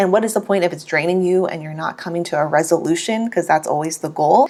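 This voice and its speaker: A woman with a fairly low pitch talks at a fairly quick pace. Her tone is animated, with ordinary pitch variation. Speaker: beauty vlogger and microblading artist. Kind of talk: casual chat while doing makeup. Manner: fast.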